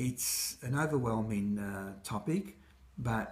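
A man with an Australian accent speaks in a somewhat breathy voice. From Egypt, raised in Australia from age six. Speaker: mental health consumer advocate. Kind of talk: speaker self-introduction to camera. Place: kitchen. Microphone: phone near.

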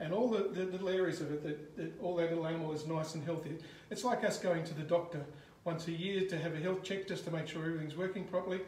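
A man's high pitch and fairly even intonation at a very fast pace, with light background noise and audible room echo. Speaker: presenter. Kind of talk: explanatory commentary to live viewers. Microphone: phone near.

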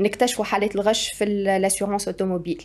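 Delivered at a fairly quick pace, the voice runs in a monotone with flat intonation. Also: woman. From Tunisia. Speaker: startup co-founder; guest. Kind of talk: interview. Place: studio. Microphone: studio mic.

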